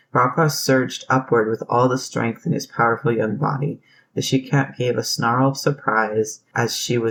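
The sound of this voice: An unforced reading voice moves with fairly even intonation.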